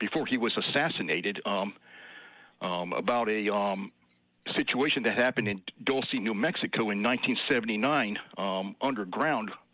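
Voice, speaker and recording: With a fairly low pitch, a man talks at a moderate pace. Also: ordinary pitch variation. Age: 60s. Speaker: caller. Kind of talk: phone-in call. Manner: halting, many fillers.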